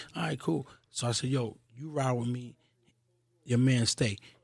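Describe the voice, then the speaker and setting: The background is quiet. A somewhat breathy man speaks at a fairly quick pace. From Queens, New York. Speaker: hip-hop podcast creator. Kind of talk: casual interview chat.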